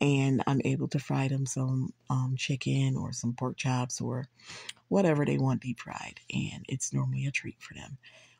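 A woman talks at a moderate pace. The background is quiet and the sound is dry, with no echo. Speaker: home cook vlogger. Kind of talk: casual cooking tutorial. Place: kitchen. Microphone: phone near.

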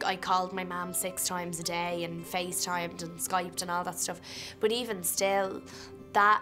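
Clear music in the background behind a woman with an Irish accent, fairly low in pitch, at a moderate pace with fairly even intonation. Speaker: film actor. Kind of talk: interview answer. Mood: reflective, earnest. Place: hall.

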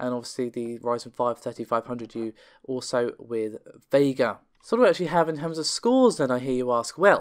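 A man's clear, smooth tone at a fairly quick pace, with ordinary pitch variation. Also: medium pitch for a man.

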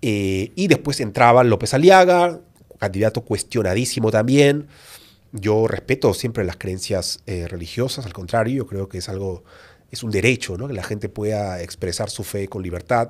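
A man talks in a fairly low pitch with lively intonation. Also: moderate pace. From Peru. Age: 30s. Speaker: YouTuber and author; podcast guest. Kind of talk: interview. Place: studio. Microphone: studio mic.

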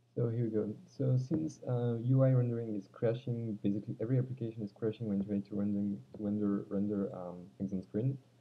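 A man with a non-native accent speaks fairly quickly in a fairly low voice with ordinary pitch variation. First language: not English. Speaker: Android developer. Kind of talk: casual tech demo narration. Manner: hesitant, many filler sounds. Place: home room. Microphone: webcam.

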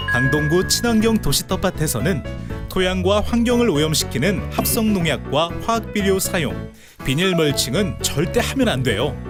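Over music in the background, a man talks at a fairly slow pace with hardly any pauses. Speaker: voice actor, narrator. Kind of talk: promotional narration for an educational video. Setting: recording studio.

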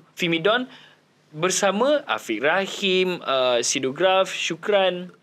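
Very wide pitch swings mark a man's voice, which sits high in pitch. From Malaysia. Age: 20s. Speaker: actor, singer and rapper; actor. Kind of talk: casual chat; interview answer. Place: studio. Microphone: handheld.

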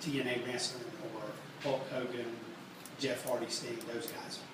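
Amid noticeable background noise and audible room echo, a man talks at a very slow pace. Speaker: merchandise company owner. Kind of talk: live workshop talk. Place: stage.

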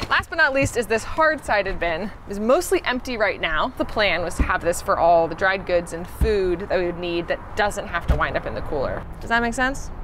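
Noticeable background noise runs behind a woman talking at a moderate pace. She leaves hardly any pauses. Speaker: road trip vlogger. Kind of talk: casual vlog chat, gear tour. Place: street.

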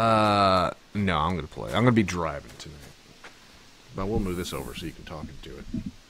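A man with a very deep, low voice talks at a fairly quick pace with lively intonation and big swings in loudness. He takes long, frequent pauses over light background noise. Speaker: gaming streamer. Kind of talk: casual chat. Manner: animated.

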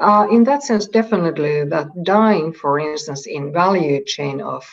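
This woman talks fairly slowly, with ordinary pitch variation. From Finland. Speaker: textile industry manager. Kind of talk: interview. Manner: halting.

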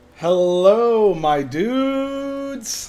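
Someone in a put-on character voice speaks at a fairly high pitch. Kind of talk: casual greeting.

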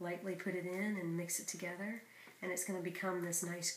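Over light background noise and audible room echo, a woman speaks in a fairly low pitch with monotone, flat intonation. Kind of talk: cooking tutorial chat. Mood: warm, encouraging. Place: kitchen. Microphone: camera far.

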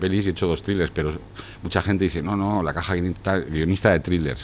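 A man talks at a very fast pace with very deep, low pitch. His intonation is fairly even, with light background noise behind him. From France until age 10, then Spain. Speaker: screenwriter and poet; poet. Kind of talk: casual interview chat. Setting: studio with camera. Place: bar. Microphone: studio mic.

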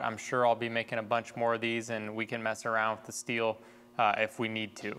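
A man speaking at a fairly quick pace, faint music behind him. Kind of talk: tutorial. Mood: relaxed, slightly nervous humor. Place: workshop. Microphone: lapel.

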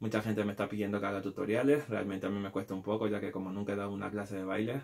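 The man's fairly low voice holds a fairly even intonation, and the background is quiet. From Peru. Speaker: street dancer and video creator. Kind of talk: casual vlog to viewers. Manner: hesitant, with fillers and repetitions. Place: home room. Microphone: webcam.

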